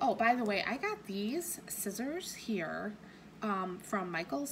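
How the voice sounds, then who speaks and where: A woman talks with ordinary pitch variation. Background noise is noticeable. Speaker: cross-stitch YouTuber. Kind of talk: casual craft vlog. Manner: hesitant, many fillers.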